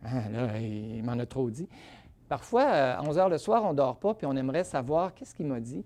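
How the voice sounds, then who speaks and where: The intonation rises and falls in a lively way. The tone is dark and mellow, over a quiet background. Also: man, medium pitch for a man, moderate pace. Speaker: rheumatologist. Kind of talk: lecture.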